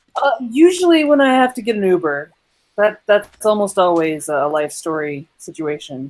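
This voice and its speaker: A woman speaks at medium pitch and a moderate pace. Her pitch swings very widely. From English-speaking country. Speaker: game server player. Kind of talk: casual chat.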